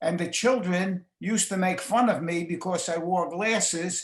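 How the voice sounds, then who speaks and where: Here a man speaks with a New York accent at a high pitch. He goes at a fairly slow pace with fairly even intonation. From New York City. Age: 90s. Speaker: retiree interviewee. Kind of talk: interview. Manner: halting.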